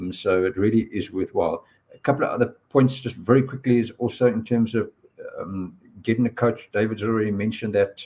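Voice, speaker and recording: Speaking at a fairly quick pace, a man with a medium pitch and ordinary pitch variation has a dark, mellow tone that is somewhat breathy. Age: 60s. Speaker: purpose coach and workshop presenter. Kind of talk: panel discussion on live stream.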